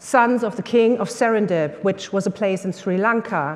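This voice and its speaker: A woman speaks with a German accent at a medium pitch. Her pace is moderate and her pitch variation ordinary. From Germany. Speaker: workshop leader. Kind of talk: workshop talk. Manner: hesitant with many fillers.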